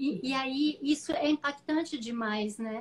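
A woman talks at a fairly slow pace, using a high pitch and lively intonation. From rural São Paulo / southern Minas Gerais, Brazil. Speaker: missionary. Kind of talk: interview in a live stream. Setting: online live stream call.

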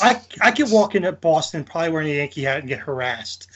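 Here a man talks at a fairly quick pace with a New Jersey accent. His pitch is fairly high and his intonation lively. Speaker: podcast co-host. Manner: casual, conversational.

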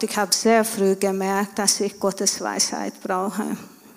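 A woman at a medium pitch for a woman speaks in a flat monotone. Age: 40s. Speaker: stay-at-home mother of a large family. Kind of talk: church interview testimony.

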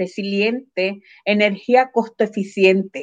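This woman's fairly high voice moves very slowly, with ordinary pitch variation. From Puerto Rico, Adjuntas (central mountains). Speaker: cooperative organizer. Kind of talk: interview.

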